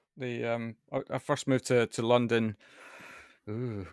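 The recording is very clean with a silent background and a dry, close sound with no echo. The speaker has a Scottish accent. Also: man. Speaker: podcast host. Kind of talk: casual interview chat. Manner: halting.

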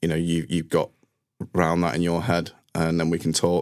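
A man with a Mancunian accent speaks at a fairly quick pace, his pitch very deep and low. The recording is very clean, with a silent background. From northern England, Manchester. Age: 30s. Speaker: IT team manager. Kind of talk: interview.

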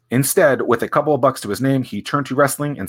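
With an American accent and a bright, sharp tone, a man speaks at a very fast pace in a very clean recording with a silent background. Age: 30s. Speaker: author reading his own book as a podcast. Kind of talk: reading aloud with casual asides. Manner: casual, joking.

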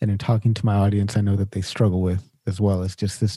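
Recorded very cleanly with a silent background, the sound is dry and close with no echo. A man speaks at a fairly low pitch in a dark, mellow, somewhat breathy tone. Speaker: podcast host. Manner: casual, uses filler "like" often.

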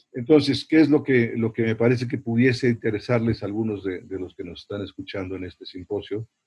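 Somewhat breathy, a man talks at a medium pitch and a fairly quick pace with hardly any pauses and ordinary pitch variation. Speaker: priest and university chaplain. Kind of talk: interview talk on evangelization.

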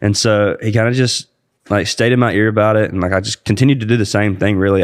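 Against a quiet background, a man speaks very fast with a Southern US accent. His pitch is fairly low and his intonation fairly even. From Georgia, US South. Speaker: country singer, air force veteran. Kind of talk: casual chat.

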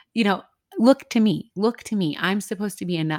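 A woman uses an ordinary speaking voice at a moderate pace with ordinary pitch variation, recorded very cleanly against a silent background. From US Midwest. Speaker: ministry leader and podcaster sharing her story. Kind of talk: testimony in a casual interview.

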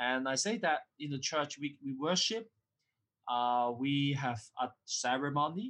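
Over a quiet background, a man with a Cantonese accent speaks at a fairly slow pace, with fairly high pitch and ordinary pitch variation. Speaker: academic author and lecturer. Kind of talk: interview. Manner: halting. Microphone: poor recording quality.

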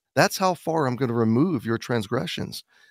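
A man with an ordinary speaking voice and lively intonation, recorded very cleanly against a silent background, the sound dry and close with no echo. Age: 50s. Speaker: pastor and author. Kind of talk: radio interview.

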